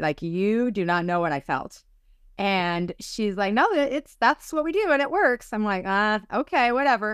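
A woman at a moderate pace with very wide pitch swings, a dry sound with no echo and a quiet background. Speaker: psychic medium and spiritual teacher. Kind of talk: casual interview. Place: home room. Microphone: video call.

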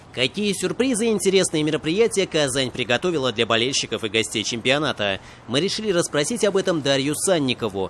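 A man at a fairly quick pace, with very wide pitch swings and very even loudness. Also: fairly high pitch for a man. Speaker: TV news correspondent. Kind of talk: news report narration.

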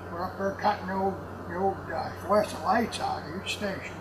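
This is a man talking at a moderate pace. Noticeable background noise runs behind him. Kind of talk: interview answer, storytelling. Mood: amused, joking recollection. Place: factory.

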